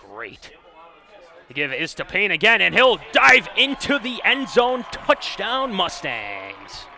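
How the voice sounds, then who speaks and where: A man at a very slow pace, his loudness swinging widely, over noticeable background noise. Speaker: play-by-play announcer. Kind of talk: live college football play-by-play commentary.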